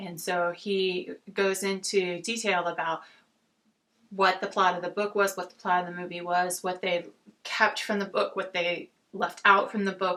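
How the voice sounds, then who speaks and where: In an American accent, a woman speaks at medium pitch with a bright, sharp tone and monotone, flat intonation. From Oakland, California, USA. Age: 40s. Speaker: book reviewer. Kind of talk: casual talk to camera. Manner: frequent filler words.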